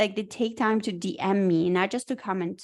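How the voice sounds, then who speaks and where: A woman with a non-native accent, medium pitch and ordinary pitch variation, at a moderate pace against a quiet background. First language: not English. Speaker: podcast co-host. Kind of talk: casual chat. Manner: straightforward, blunt.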